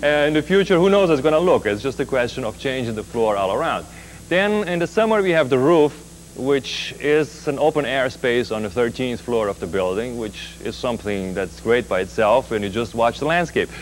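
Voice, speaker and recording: A man's pitch swings very widely as he talks fairly quickly. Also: medium pitch for a man. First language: German. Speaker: nightclub owner. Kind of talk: TV interview.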